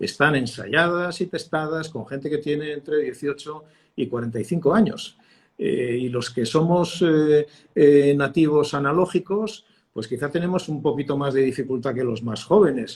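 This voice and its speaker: This man has a fairly high pitch and a somewhat breathy voice. He talks at a moderate pace with ordinary pitch variation. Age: 60s. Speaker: communications consultant, former radio and TV journalist. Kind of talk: interview. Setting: live stream. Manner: hesitant, many fillers.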